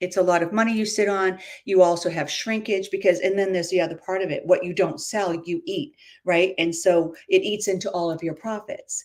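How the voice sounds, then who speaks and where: This woman has an unremarkable speaking voice at a medium pitch. She talks at a fairly quick pace with fairly even intonation. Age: 60s. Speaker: entrepreneur, former salon makeup business owner. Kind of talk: interview on a live video stream.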